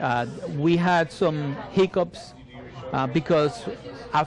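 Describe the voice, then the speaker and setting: A man speaks at a fairly slow pace with a Spanish accent. Crowd noise fills the background. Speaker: military veteran and marketing business owner. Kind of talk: interview. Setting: cafe, live recording. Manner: halting, many repetitions and fillers.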